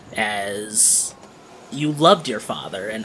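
Against noticeable background noise, a man speaks at a fairly low pitch. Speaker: podcast game master and editor. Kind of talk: tabletop role-play game narration. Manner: animated.

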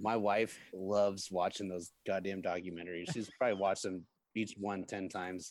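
This man speaks in a very deep, low voice with monotone, flat intonation. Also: moderate pace. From US Midwest, Peoria, Illinois. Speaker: event production manager. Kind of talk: casual interview.

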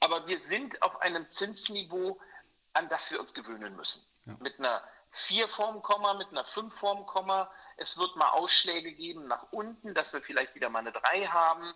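A man speaks at a moderate pace in a raised, projected voice. His pitch is high. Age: 50s. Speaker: mortgage broker. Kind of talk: interview. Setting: remote call from holiday in Mallorca.

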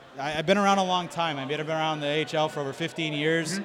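A man's fairly high, fairly even voice at a fairly quick pace, with audible room echo and noticeable background noise. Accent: American. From Springfield, Massachusetts. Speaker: hockey team president. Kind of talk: casual chat. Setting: live show at a brewery.

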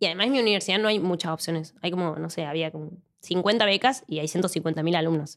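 A woman speaks in a Cordoban Argentine accent at a fairly low pitch. Her pace is fairly quick, with ordinary pitch variation. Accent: Argentine Spanish, Córdoba. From Argentina, Córdoba. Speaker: mathematics PhD researcher. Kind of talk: casual interview.

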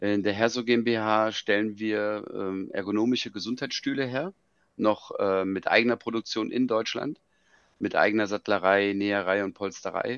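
Speaking at a moderate pace, a man uses a normal speaking voice with a fairly low pitch and fairly even intonation. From Germany, Frankfurt. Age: 40s. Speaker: business founder. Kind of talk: interview.

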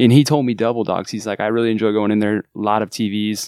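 This man with an American accent talks at a fairly quick pace in a fairly low pitch, recorded very cleanly against a silent background with a dry, close sound and no echo. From Southern California. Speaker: music manager and restaurant server. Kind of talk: casual chat. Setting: studio.

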